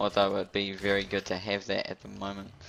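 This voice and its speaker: The man's voice sits at a fairly low pitch. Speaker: gaming commentator. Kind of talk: gameplay commentary. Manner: fast.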